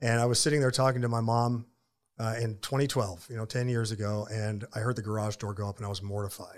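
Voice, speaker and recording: Very fast speech comes from a man with fairly even intonation. The recording is very clean, with a silent background. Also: medium pitch for a man. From Florida. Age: 50s. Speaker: ministry founder and author. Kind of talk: casual interview chat. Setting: studio.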